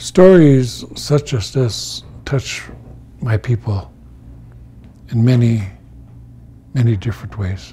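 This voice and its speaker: The speaker goes at a very slow pace with long, frequent pauses. The intonation is lively. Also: man. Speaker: elder storyteller and teacher. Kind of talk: storytelling talk. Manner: slow, reflective. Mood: calm, solemn, reflective. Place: home room.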